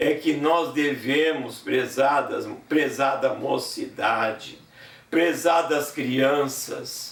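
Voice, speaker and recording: A man speaks at a very slow pace, with audible room echo and noticeable background noise around him. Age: 70s. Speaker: preacher and gospel singer. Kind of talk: sermon.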